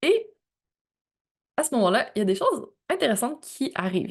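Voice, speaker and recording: A woman's fairly high voice against a quiet background. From Quebec. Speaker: podcast host. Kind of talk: personal storytelling monologue. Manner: casual, conversational.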